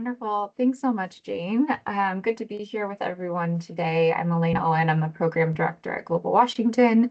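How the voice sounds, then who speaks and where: A woman talks fairly quickly with hardly any pauses in a normal speaking voice. Her medium pitch shows ordinary variation. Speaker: nonprofit program director. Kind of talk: town hall presentation.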